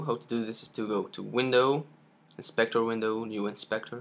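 A man speaks at medium pitch and a moderate pace. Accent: non-native. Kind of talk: software tutorial screen recording. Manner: hesitant, many fillers.

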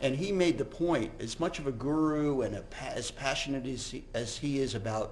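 Over light background noise, a man talks at a moderate pace. His pitch varies in an ordinary way. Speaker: physician giving a lecture. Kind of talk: lecture. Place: hall.

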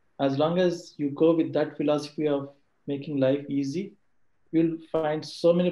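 In a room with audible echo, a man's fairly high-pitched voice has a dark, mellow tone and fairly even intonation. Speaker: colleague of speaker, answering audience questions; speaker. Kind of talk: talk / webinar presentation. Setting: video call webinar. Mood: motivational, earnest. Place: home room. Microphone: video call.

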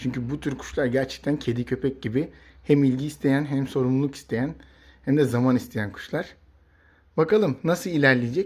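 A man talks at a moderate pace. The recording is very clean and the background is silent. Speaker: pet bird YouTuber. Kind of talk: casual vlog talk to camera. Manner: hesitant fillers; animated, exclamatory.

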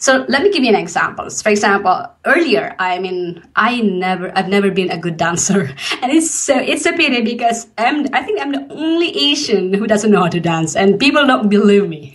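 Amid noticeable background noise and audible room echo, a woman at medium pitch speaks at a moderate pace with very wide pitch swings and hardly any pauses. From Philippines. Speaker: podcast host and business coach. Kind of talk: interview.

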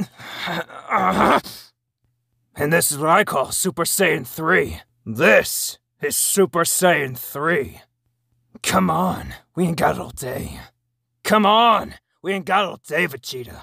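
A put-on character voice, shouting, raspy and strained, at a middle pitch and fairly slow pace, with long, frequent pauses. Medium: voice reel. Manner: shouted, strained yells.

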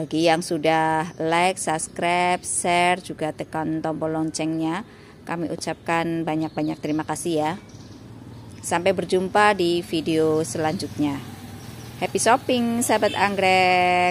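A woman's normal speaking voice, fairly low in pitch with ordinary pitch variation and a fairly slow pace, in a dry sound with no echo and light background noise. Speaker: orchid seller. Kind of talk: sales pitch. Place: garden. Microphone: phone near.

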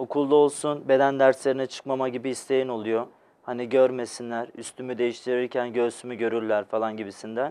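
A man speaks at a fairly quick pace in a flat monotone. His tone is dark and mellow. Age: 20s. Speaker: patient, electrical technician. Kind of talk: TV interview, personal testimony. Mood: calm, reflective. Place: studio.

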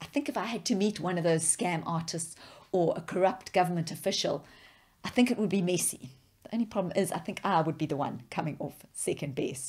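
Against a quiet background, a woman with a fairly low pitch talks at a fairly quick pace, her voice somewhat breathy and her intonation lively. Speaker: preacher. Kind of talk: sermon.

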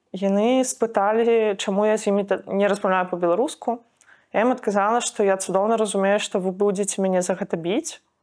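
A woman at medium pitch talks at a fairly quick pace with fairly even intonation. Her loudness stays very even against a quiet background. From Belarus. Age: 20s. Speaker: student activist; interviewee, witness. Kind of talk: testimony. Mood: grave, subdued. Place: empty room. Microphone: lapel.

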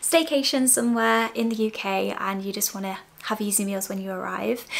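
Fairly even intonation carries the words along at a fairly quick pace. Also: woman. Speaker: lifestyle vlogger. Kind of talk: sponsored segment to camera. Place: home room.

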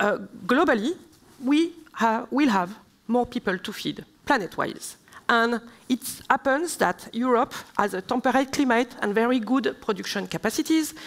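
A woman with a French accent talks at a moderate pace and high pitch, with lively intonation and long, frequent pauses. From southern France. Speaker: member of European Parliament; speaker. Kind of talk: panel debate; panel discussion answer. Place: stage. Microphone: headset.

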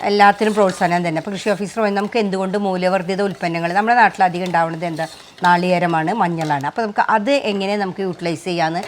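The intonation stays fairly even, with noticeable background noise underneath. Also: woman, medium pitch for a woman. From Kerala, Thrissur (Nattika). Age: 50s. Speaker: small food producer and farmer. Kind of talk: cooking demonstration.

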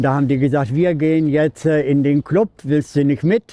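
The sound is dry, with no echo. The voice has a dark, mellow tone. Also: man. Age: 70s. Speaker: interviewee. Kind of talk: interview answer. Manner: casual, hesitant with fillers. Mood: cheerful, warm, reflective. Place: street.

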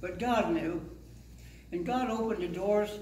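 Fairly slow, high-pitched speech from a man, ordinary pitch variation, audible room echo and light background noise. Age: 80s+. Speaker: pastor. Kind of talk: sermon. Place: church. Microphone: handheld.

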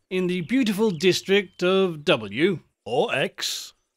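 With a quiet background, the delivery is plain reading aloud.

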